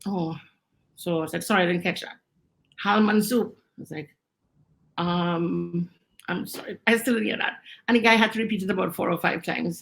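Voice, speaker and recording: With vocal fry and an animated tone, a woman speaks at a moderate pace. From Trinidad. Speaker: expat interviewee. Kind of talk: casual interview, storytelling.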